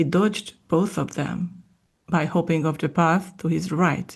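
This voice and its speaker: Somewhat breathy, a woman with a fairly low pitch speaks at a fairly slow pace with fairly even intonation. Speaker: podcast host and audiobook-style reader. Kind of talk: ASMR soft-spoken book reading. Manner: soft-spoken, calm, slow.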